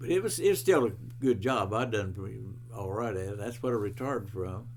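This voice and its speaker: Speaking at a fairly quick pace, a man has a medium pitch, ordinary pitch variation, a somewhat breathy quality, and audible room echo. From West Virginia. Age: 90s. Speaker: retired bread truck driver. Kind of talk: oral history interview. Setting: at his home. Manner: halting.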